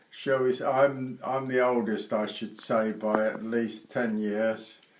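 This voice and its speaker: A man talks at a very slow pace with a medium pitch. Noticeable background noise runs underneath. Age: 80s+. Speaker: retired airline pilot. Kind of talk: interview.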